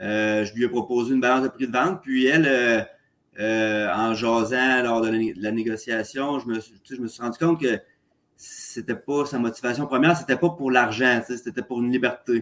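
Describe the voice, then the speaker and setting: A man with a Quebec accent at medium pitch and a moderate pace, ordinary pitch variation and big swings in loudness. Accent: Québécois French. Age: 30s. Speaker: real estate investor, contractor. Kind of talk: casual interview. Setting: remote call from condo. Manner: halting, many fillers.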